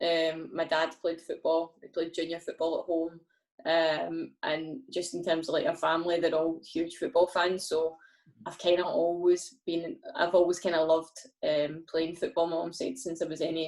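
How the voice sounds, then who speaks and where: A woman with a Scottish accent speaks in a monotone, flat way at a moderate pace, her pitch fairly low. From Scotland, Glasgow. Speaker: professional footballer. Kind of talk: podcast interview.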